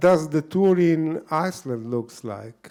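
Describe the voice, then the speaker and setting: With a Slavic accent, a man speaks at a very slow pace, his fairly high pitch making very wide swings. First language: Slovenian. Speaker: writer and event moderator. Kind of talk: interview at a book event.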